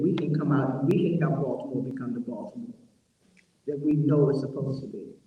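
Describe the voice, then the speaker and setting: A man's fairly high-pitched voice at a very fast pace, with audible room echo. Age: 70s. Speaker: formerly incarcerated advocate. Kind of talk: panel discussion. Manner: animated.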